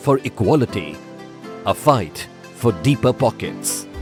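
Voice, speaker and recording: A track of music runs underneath. The talking proceeds at a medium speed. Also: man. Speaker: voice actor. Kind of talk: TV commercial read.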